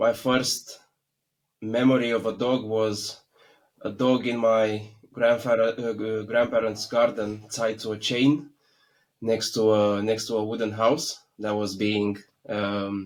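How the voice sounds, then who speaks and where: A man at a very slow pace in a flat monotone. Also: medium pitch for a man. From Romania. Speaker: dog sport decoy. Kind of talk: interview. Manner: halting.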